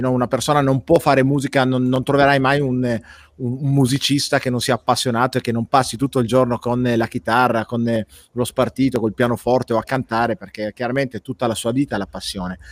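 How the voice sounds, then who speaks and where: A man at a medium pitch, fairly quick and fairly even in intonation, in a dry, close sound with no echo and a very clean recording over a silent background. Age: middle-aged. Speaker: web show host and life coach. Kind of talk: casual interview chat.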